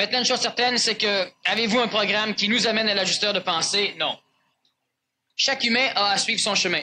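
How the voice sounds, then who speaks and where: Speaking fairly quickly in a raised, projected voice, a man with a high pitch has a bright, sharp tone, very even loudness and fairly even intonation. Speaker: spiritual lecturer. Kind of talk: lecture with audience Q&A. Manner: fast.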